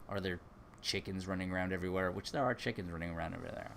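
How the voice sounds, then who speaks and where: With an American accent, a man speaks in a very deep, low voice with fairly even intonation. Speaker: YouTuber. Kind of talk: live stream chat. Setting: garage.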